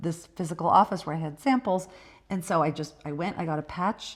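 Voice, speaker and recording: Fairly quick and fairly low-pitched, a woman talks with ordinary pitch variation in an unremarkable speaking voice. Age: 50s. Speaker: doctor, midlife health expert. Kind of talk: podcast interview.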